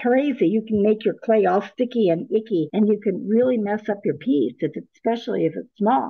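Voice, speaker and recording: The speaker's somewhat breathy voice moves at a moderate pace with lively intonation. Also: woman. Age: 80s+. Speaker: dollmaker. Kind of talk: interview.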